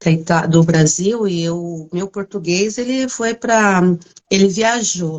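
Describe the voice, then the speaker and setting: A woman's medium-pitched voice with ordinary pitch variation, at a very slow pace. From São Paulo city, Brazil. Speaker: livestream interviewer. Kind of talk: casual live interview. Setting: online livestream.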